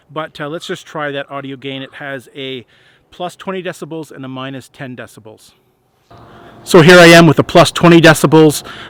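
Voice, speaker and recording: Recorded very cleanly against a silent background, a man speaks at a fairly quick pace in a relaxed tone, the sound dry and close with no echo. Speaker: outdoor YouTuber reviewing gear. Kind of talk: product review tutorial. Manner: relaxed, hesitant with fillers.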